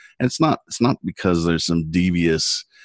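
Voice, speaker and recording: A man with a Californian accent and a very deep, low pitch against a quiet background. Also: dry, close sound with no echo. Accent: Californian American. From US West Coast, San Diego. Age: 50s. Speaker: internet lawyer. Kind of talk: interview conversation.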